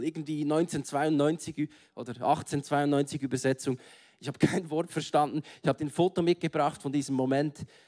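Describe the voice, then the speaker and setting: A man with a fairly high pitch and an ordinary speaking voice talks at a moderate pace. The sound is dry and close with no echo. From Switzerland, Bern. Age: 30s. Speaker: guest preacher. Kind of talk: sermon. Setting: stage with audience.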